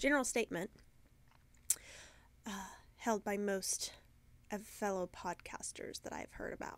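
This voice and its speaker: Whispering, a woman leaves long, frequent pauses. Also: moderate pace, very clean recording, silent background. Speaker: yarn shop owner and podcaster. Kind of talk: casual podcast chat.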